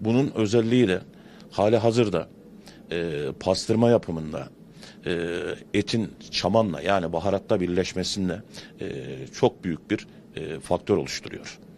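Over light background noise, a man with a very deep, low pitch speaks at a fairly slow pace, with ordinary pitch variation and long, frequent pauses. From Turkey. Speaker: pastırma shopkeeper. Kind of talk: street interview. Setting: outdoors at a bazaar. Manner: hesitant, many fillers. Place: shop. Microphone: handheld.

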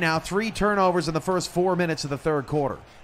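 Noticeable background noise sits behind a man's voice. His pitch is high and his intonation lively. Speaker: play-by-play commentator. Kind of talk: live play-by-play sports commentary of a simulated football game. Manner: conversational, broadcast-style with occasional self-corrections.

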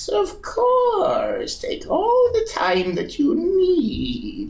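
Putting on a character voice, a man speaks very slowly at an extremely high pitch. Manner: creepy, sly, repetitive.

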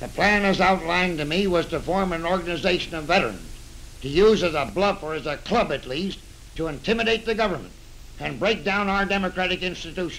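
Over light background noise, a man with an American accent and a high pitch talks at a fairly quick pace with ordinary pitch variation. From United States. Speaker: retired general testifying before a congressional committee. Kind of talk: 1930s newsreel statement. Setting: old newsreel recording. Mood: earnest, serious. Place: office.

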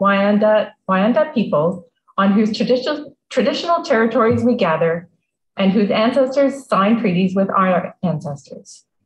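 There is light background noise and audible room echo. A woman speaks at a moderate pace in a somewhat breathy voice. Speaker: museum talk host. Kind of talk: read introduction. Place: home room. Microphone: video call.

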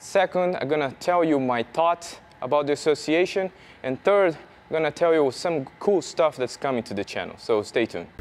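A man talks with ordinary pitch variation, keeping to a moderate pace. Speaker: beekeeping channel host. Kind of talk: casual vlog chat. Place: open country. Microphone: lapel.

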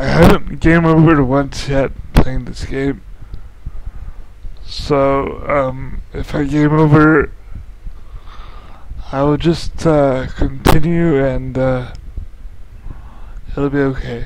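Against noticeable background noise, a man with a fairly high pitch speaks in a monotone, flat way at a very slow pace, with long, frequent pauses. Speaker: gaming video commentator. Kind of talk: casual gameplay commentary.

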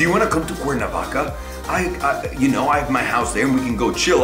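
A man speaks at a fairly quick pace while clear music plays behind him. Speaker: vlogger. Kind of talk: casual story time vlog. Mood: comic, exasperated. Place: home room.

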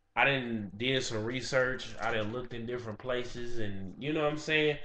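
Audible room echo surrounds a man's voice. He speaks at a medium pitch and a moderate pace. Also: ordinary pitch variation. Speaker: YouTuber vlogger. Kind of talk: casual vlog monologue. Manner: casual, hesitant with fillers.

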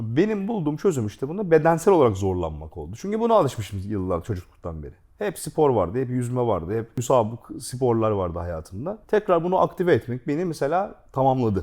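A man speaks at a fairly quick pace in a medium-pitched voice with a dark, mellow tone, his pitch swinging very widely and hardly any pauses breaking his speech. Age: 40s. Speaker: gaming YouTube host. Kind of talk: casual chat.

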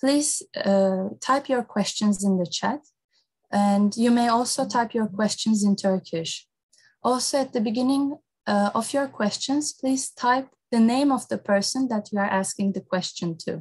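A woman speaks at a fairly slow pace with ordinary pitch variation and a somewhat breathy voice. The background is quiet. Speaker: moderator. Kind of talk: formal event introduction. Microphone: earbuds.

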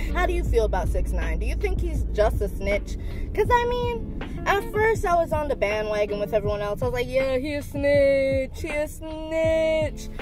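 Over clear music in the background, a woman speaks at a moderate pace with hardly any pauses, the sound dry with no echo. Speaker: vlogger. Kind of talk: casual vlog chat. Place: car. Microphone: phone near.

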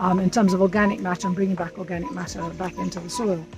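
A woman speaks with ordinary pitch variation in a dry sound with no echo, with clear music in the background. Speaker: compost instructor. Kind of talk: tutorial. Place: garden. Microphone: camera far.

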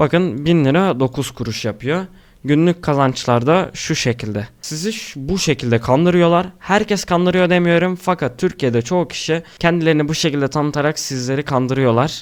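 A man uses a normal speaking voice, fairly high in pitch, with ordinary pitch variation at a moderate pace. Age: young. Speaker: YouTube creator. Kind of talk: screen-recorded tutorial.

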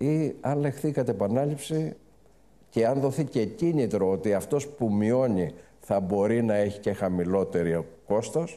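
A man's dark, mellow voice, lively in intonation, at a fairly slow pace. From Greece. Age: 70s. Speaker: banker and business group chairman; guest. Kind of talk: fireside chat interview. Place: stage. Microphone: lapel.

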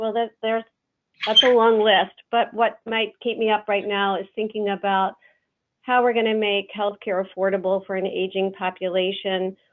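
Over a quiet background, a woman speaks at a moderate pace with monotone, flat intonation. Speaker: remote webinar panelist. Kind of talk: self-introduction on a webinar. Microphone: phone line.

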